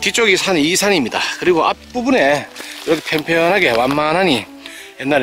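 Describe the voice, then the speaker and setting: A man's very slow speech, dry with no echo, faint music in the background. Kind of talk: property walkthrough commentary. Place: open country. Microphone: phone near.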